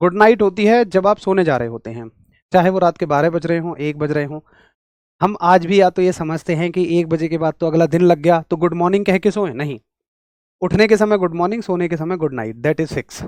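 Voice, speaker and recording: The man's high-pitched voice moves at a fairly quick pace with ordinary pitch variation, recorded with a dry, close sound and no echo. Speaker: physics teacher for railway exams. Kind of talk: online lecture. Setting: live class streamed on an app. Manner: energetic, enthusiastic.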